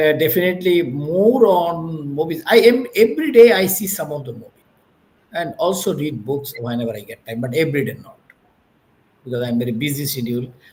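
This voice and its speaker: A man with a Bengali accent talks at a fairly quick pace and a fairly high pitch. His pitch swings very widely and his loudness rises and falls a lot. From Bangladesh. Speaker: business executive. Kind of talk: interview. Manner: halting, with many fillers.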